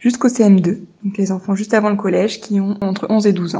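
Her voice is somewhat breathy, with a dark, mellow tone, a medium pitch for a woman and fairly even intonation. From France. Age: 20s. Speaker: primary school teacher. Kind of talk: monologue. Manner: gentle.

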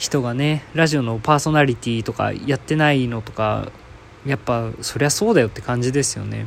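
Moderate pacing from a man, with noticeable background noise. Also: medium pitch for a man, ordinary pitch variation. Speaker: podcast host. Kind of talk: solo casual talk. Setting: at home, in quarantine.

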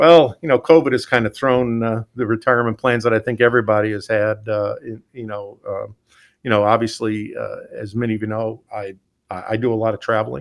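In a very clean recording with a silent background, a man with a normal speaking voice talks at a fairly quick pace with a medium pitch, fairly even intonation, and big swings in loudness. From Pennsylvania (Scranton). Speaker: utility CEO. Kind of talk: interview.

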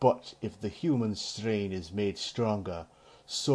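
The passage is read aloud in a natural voice.

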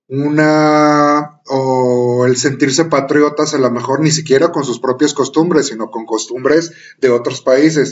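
The man speaks at a very slow pace. His intonation stays fairly even. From Mexico. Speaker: podcast co-host. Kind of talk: panel discussion.

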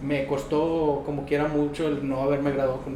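A man's fairly high voice at a moderate pace, with audible room echo and noticeable background noise. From Mexico, Monterrey. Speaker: dentist. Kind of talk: interview. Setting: dental clinic.

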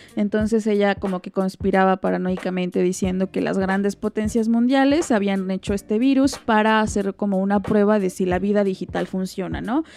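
Her tone dark and mellow, a woman talks at a moderate pace with fairly even intonation and hardly any pauses. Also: medium pitch for a woman. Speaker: podcast co-host. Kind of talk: casual chat.

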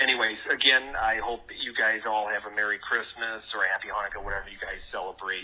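This man has a Wisconsin accent and a fairly low pitch, with little movement in it. His tone is bright and sharp, and he talks at a fast pace. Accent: Wisconsin, American Midwest.

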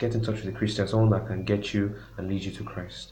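A man talks at a fairly low pitch, somewhat breathy, with fairly even intonation. Room echo is audible. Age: 20s. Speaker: music producer. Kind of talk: casual interview.

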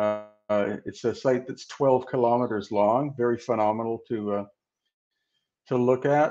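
Over music in the background, the speaker moves at a fairly slow pace with fairly even intonation and long, frequent pauses. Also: man, medium pitch for a man. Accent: western Canadian. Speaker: researcher and author on ancient megaliths. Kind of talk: interview.

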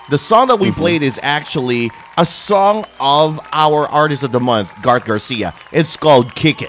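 Over music in the background, a fairly high-pitched man talks with lively intonation at a moderate pace, with hardly any pauses. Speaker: radio host. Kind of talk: radio interview, Taglish. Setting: internet radio livestream.

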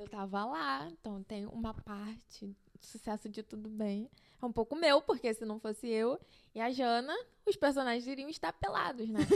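This woman has an unremarkable speaking voice, pitched fairly high, at a moderate pace. Her intonation is lively. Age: 20s. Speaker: fashion student. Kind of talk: casual chat. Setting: home studio in bedroom.

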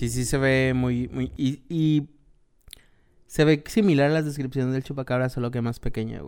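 Speaking with a Mexican accent, a man keeps a medium pitch and a moderate pace. His intonation stays fairly even. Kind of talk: casual chat.

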